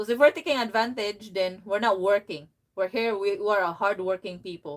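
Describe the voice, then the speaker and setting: Speaking at a moderate pace with a strong Filipino accent, a woman holds a fairly even intonation. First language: Filipino language. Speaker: vlogger. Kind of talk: casual chat. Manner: halting.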